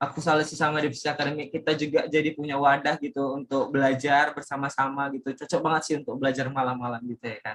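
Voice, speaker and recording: With a Medan accent, a man speaks in an animated tone at a fairly high pitch. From Indonesia, Medan (North Sumatra). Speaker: student podcast host. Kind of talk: casual podcast chat. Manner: loud.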